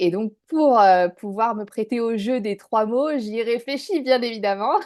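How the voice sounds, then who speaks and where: Against a quiet background, a woman talks at a fairly slow pace with a fairly high pitch and ordinary pitch variation. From northern France, Dunkirk. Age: 30s. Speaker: business owner, former expat. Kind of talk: interview testimony. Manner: hesitant, many fillers.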